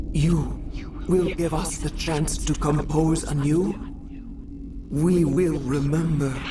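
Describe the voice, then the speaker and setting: Over loud background noise, a put-on character voice at a middle pitch moves at a fairly slow pace with long, frequent pauses. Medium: video game. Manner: slow, poetic, otherworldly.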